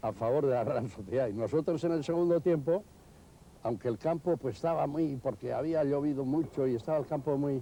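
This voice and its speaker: A man speaks at a fairly quick pace with very even loudness. His voice is fairly high in pitch with a dark, mellow tone. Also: ordinary pitch variation. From Bilbao. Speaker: former football striker. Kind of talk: interview answer.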